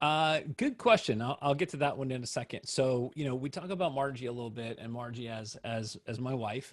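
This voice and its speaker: Speech comes at a fairly quick pace with hardly any pauses and ordinary pitch variation, on a very clean recording with a silent background. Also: man, medium pitch for a man. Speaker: wedding photographer. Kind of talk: presentation Q&A. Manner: loud.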